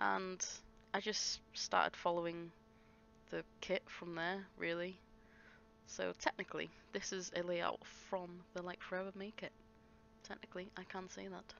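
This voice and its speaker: A woman with an English accent mumbles at a moderate pace in a fairly low, flat, monotone voice, leaving long, frequent pauses while her loudness swings widely. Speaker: scrapbooking vlogger. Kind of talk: craft process voiceover. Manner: mumbling; halting.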